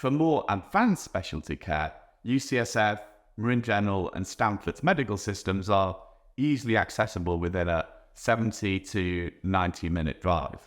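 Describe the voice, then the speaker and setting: A man with a British accent and fairly low pitch, on a very clean recording with a silent background. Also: lively intonation, moderate pace. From England. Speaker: real estate agent. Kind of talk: presenter-style guide video.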